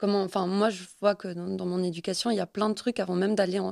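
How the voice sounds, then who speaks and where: Recorded dry and close with no echo and a silent background, a woman speaks fairly quickly at a medium pitch in a monotone, flat delivery. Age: 20s. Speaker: podcast guest. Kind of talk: casual chat.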